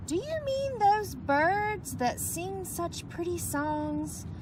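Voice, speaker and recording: A woman performs a put-on character voice at a very slow pace. Loud background noise runs underneath. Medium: read story. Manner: loud, boisterous.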